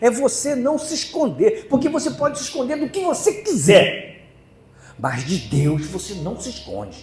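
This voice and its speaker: Over noticeable background noise, a man speaks at a fairly slow pace with very wide pitch swings and big swings in loudness. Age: 70s. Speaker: preacher. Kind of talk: sermon.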